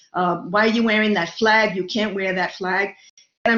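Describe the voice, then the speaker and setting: This woman speaks in a New York accent. Her pitch is medium. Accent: New York Brooklyn. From New York City (Brooklyn). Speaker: lecturer. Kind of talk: lecture.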